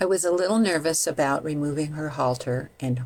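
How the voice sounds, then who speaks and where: Vocal fry runs through a woman's very deep, low voice. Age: 70s. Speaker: horse trainer. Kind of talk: personal vlog narration.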